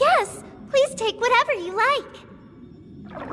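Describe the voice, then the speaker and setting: In a put-on character voice that sounds female, the speaker goes very slowly with a squeaky, extremely high pitch and a warm tone, over clear background noise. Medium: fan dub. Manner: polite, formal, warm.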